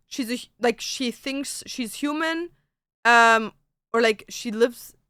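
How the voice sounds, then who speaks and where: In a German accent, a woman speaks at a fairly slow pace with an animated tone and ordinary pitch variation. The recording is very clean, with a silent background. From Germany. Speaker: streamer. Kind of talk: casual chat. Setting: live stream.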